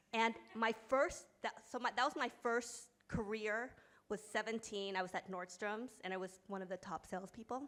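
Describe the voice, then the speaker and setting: Speaking with a New York accent, a woman uses ordinary pitch variation. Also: moderate pace. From US, New York. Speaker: company founder and author. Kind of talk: panel discussion.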